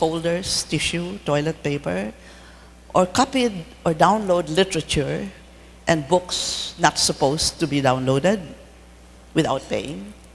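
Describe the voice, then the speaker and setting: The speech moves at a fairly slow pace. Noticeable background noise runs underneath. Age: 80s+. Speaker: dermatologist. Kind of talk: lecture.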